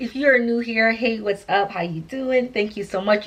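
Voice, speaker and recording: Over noticeable background noise, an animated woman with a fairly high pitch talks at a fairly quick pace with ordinary pitch variation. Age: 30s. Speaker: lifestyle vlogger with sickle cell. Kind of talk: casual vlog talk to camera. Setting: sitting in armchair at home. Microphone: poor recording quality.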